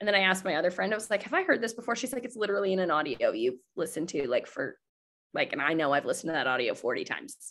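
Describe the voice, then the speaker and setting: A woman speaks at a very fast pace with vocal fry and very wide pitch swings. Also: medium pitch for a woman. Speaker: network marketing team leader. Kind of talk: live webinar training. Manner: animated.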